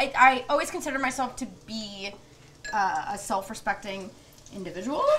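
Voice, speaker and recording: A woman speaks fairly quickly in a raised, projected voice with big swings in loudness over light background noise. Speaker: guest comedian. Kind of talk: interview answer. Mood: reflective, candid. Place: kitchen.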